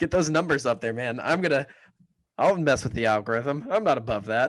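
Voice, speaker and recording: Lively intonation marks this man's medium-pitched voice, which carries a slight Southern US accent. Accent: slight drawl. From Kansas. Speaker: political podcast co-host. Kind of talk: casual chat. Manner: fast.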